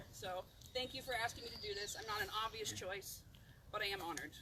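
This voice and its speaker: A woman with a Pacific Northwest accent, at a fairly quick pace. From US Pacific Northwest, Oregon coast. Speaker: invocation speaker at memorial service. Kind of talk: memorial ceremony speech and prayer. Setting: outdoors at cemetery.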